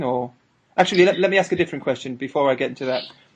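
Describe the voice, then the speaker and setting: A man with a Northern English accent and ordinary pitch variation. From northern England. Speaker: interviewer. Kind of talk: casual interview.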